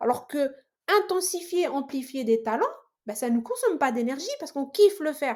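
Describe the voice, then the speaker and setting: A loud woman's voice, high-pitched, with very wide pitch swings. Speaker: sales professional and entrepreneur. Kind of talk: podcast interview. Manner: loud, animated; halting, many fillers and repetitions.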